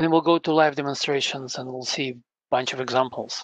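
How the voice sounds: Speaking at a fairly quick pace, a man keeps a medium pitch and fairly even intonation. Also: fairly bright tone.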